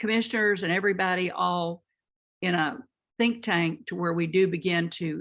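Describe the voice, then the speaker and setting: A Texas accent with ordinary pitch variation. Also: woman. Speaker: community training center worker. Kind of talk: audience comment in online conference. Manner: halting.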